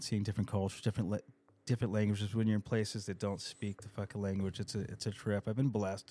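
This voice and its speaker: Speaking at a very fast pace, a man with a fairly low pitch talks in an American accent. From California (East County San Diego). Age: 50s. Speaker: rock guitarist in recovery. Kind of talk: casual chat.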